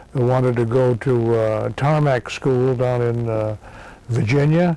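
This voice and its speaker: With an American accent, a man speaks at a fairly slow pace and medium pitch, his intonation fairly even and loudness very even, over noticeable background noise. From Massachusetts. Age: 70s. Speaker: war veteran. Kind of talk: oral history interview. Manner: halting, many fillers.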